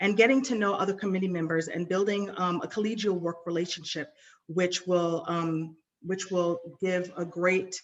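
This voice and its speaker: A woman with an American accent, medium pitch and a plain, everyday voice, at a moderate pace with fairly even intonation. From New York City. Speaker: nonprofit board trainer. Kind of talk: webinar presentation.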